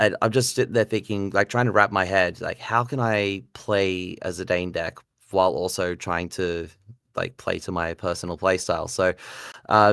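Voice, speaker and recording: A man with an Australian accent speaks at a moderate pace, his pitch fairly low with ordinary variation. The recording is very clean, with a silent background. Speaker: card game player, podcaster. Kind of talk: casual chat.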